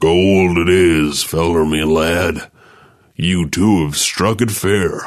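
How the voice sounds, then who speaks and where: A man puts on a character voice. It is pitched very deep and low and delivered at a very slow pace. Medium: read story. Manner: drawling frontier folksy.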